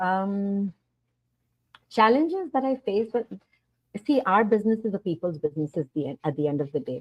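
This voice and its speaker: Her medium-pitched voice swings very widely in pitch as she talks at a fairly quick pace with long, frequent pauses, in a dry, close sound with no echo. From India. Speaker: online business owner. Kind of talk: interview answers.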